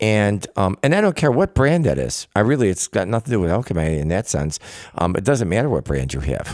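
Here a man talks at a fairly quick pace with a fairly low pitch. His pitch swings very widely, and the sound is dry and close with no echo. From Italian-American, US. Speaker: hair products business owner. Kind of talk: casual interview chat. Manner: halting, many fillers.

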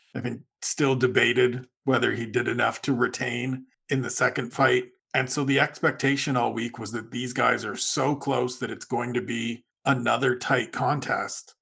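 With vocal fry and a bright, sharp tone, a man talks at a medium pitch and a moderate pace in monotone, flat intonation. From Canada, Niagara region. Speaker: MMA writer and podcaster. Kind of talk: casual chat.

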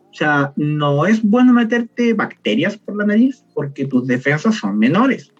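Very wide pitch swings at a fairly slow pace, with hardly any pauses and music in the background. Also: man, high pitch for a man. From southern Chile, Temuco. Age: 20s. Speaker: chemistry student and harm-reduction founder. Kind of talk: casual interview.

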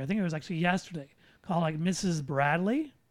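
Recorded very cleanly against a silent background, a man talks at a high pitch for a man with ordinary pitch variation. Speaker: podcast host. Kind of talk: casual chat.

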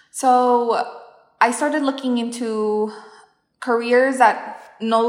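Speaking at a very slow pace, a woman is heard with audible room echo around her. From US Midwest, southwest Kansas. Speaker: dental hygienist. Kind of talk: casual interview.

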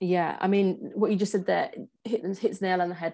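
Against a quiet background, a woman with an English accent talks at a fairly quick pace in a dark, mellow tone. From England, Punjabi family. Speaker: personal stylist. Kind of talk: casual interview chat.

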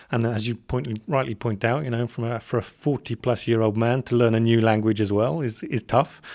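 A man's fairly quick, medium-pitched speech in an English accent, fairly even in intonation, with hardly any pauses. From England. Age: 40s. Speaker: corporate communications professional. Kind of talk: casual interview chat. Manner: hesitant, many repetitions.

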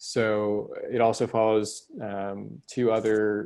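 Over a quiet background, a man with an American accent speaks at a fairly low pitch. His tone is dark and mellow. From Texas, Houston. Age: 20s. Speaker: documentary filmmaker. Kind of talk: casual interview chat.

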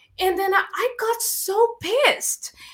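A woman talks with a bright, sharp tone that is animated. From Brazil. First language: Portuguese. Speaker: filmmaker and actress. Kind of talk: casual interview. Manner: animated, laughs often.

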